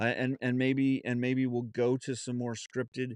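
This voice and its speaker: Someone speaks at a fairly slow pace with a Southern US accent against a quiet background. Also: man. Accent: Southern US drawl, put on when lazy. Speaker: podcast host. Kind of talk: solo podcast monologue, unscripted. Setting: home studio. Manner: halting, many fillers and restarts.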